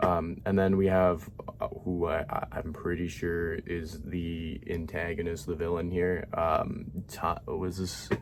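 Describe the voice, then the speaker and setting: This man's voice sits very deep and low. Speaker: YouTuber reacting to comment sections. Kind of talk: casual commentary. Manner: quiet, low-energy; halting, many fillers and repeats.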